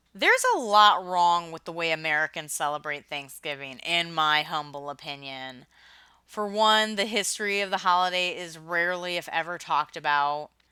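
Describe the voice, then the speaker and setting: This woman has a bright, sharp tone and talks at a fairly quick pace. Her pitch varies in an ordinary way. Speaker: podcast host. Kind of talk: podcast commentary. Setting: home closet recording. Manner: humorous, sardonic.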